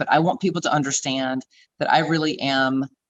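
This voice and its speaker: In a Southern US accent, the speaker talks at a fairly quick pace with fairly even intonation. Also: woman. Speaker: beauty pageant queen and fitness trainer. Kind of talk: interview.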